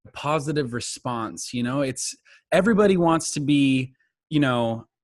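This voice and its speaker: Over a quiet background, a man with a plain, everyday voice speaks fairly slowly at a medium pitch, his intonation lively. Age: 20s. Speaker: singer-songwriter. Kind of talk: interview. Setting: podcast.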